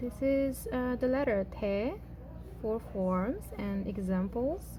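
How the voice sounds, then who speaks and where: Speaking very slowly with a Xinjiang accent, a woman is heard with audible room echo. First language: Uyghur. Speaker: language teacher. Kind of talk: tutorial. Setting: at home with housemates. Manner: hesitant, many fillers.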